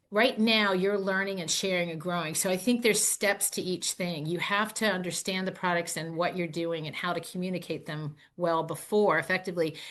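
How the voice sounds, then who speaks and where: A woman's normal speaking voice at a medium pitch, fairly quick in pace with fairly even intonation, against a quiet background. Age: 60s. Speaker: network marketing distributor. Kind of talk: podcast interview.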